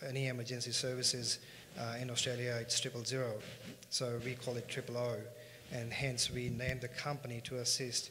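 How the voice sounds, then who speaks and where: In a room with audible echo, a man speaks fairly quickly at medium pitch with monotone, flat intonation. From India, Punjabi. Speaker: finance company co-founder. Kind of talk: conference panel talk.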